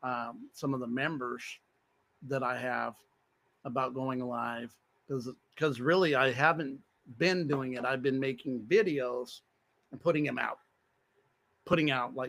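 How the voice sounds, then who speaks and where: The man's voice sits at a medium pitch with fairly even intonation. He goes at a fairly slow pace, with long, frequent pauses. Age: 60s. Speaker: spiritual livestreamer. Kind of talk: livestream monologue. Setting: live stream. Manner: rambling, halting.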